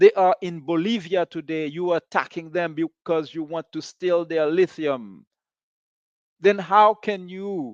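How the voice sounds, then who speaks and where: With a dry, close sound and no echo, a man talks at a fairly slow pace in a high pitch. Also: ordinary pitch variation, quiet background. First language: not English (third language). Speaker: podcast host. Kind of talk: monologue commentary. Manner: animated.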